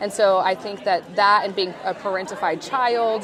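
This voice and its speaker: Crowd noise fills the background. Over it, a woman talks with an American accent. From US West Coast (California desert). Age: 30s. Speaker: conference attendee sharing OCD story. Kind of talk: casual chat. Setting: booth at a conference.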